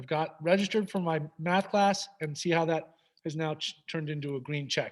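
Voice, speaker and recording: With an American accent, a man speaks at a fairly quick pace and a fairly high pitch. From New York. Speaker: high school staff presenter. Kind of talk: presentation to parents with screen demo. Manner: fast; animated.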